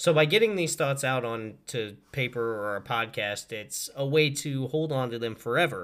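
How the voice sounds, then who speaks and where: A man's medium-pitched voice with a Midwestern American accent, lively intonation, a moderate pace and hardly any pauses. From small-town Missouri. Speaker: podcast host. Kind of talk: casual monologue. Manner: animated.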